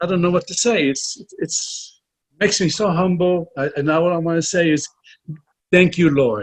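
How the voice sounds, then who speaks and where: With a high pitch for a man, his speech runs at a moderate pace and carries ordinary pitch variation. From Puerto Rico. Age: 70s. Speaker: author and film financier. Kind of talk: interview. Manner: halting, repeats words.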